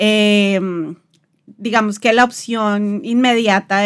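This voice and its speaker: A woman with an unremarkable speaking voice talks at a medium pitch with fairly even intonation, on a very clean recording with a silent background. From Colombia, Bogotá. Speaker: podcast host, designer. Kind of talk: casual chat.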